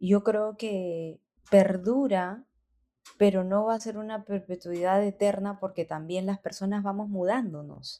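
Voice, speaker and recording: Fairly slow, fairly even speech from a woman with a dark, mellow tone. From Peru, Lima (born in Cajamarca, moved at about 7). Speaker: singer and music producer. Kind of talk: interview conversation. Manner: halting, many repetitions and fillers.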